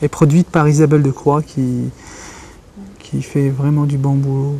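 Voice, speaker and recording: A man's fairly high voice in a Kabyle accent, monotone and flat, at a fairly slow pace over noticeable background noise. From Algeria. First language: Kabyle Berber (speaking French). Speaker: writer and journalist. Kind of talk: interview. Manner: halting, many repetitions.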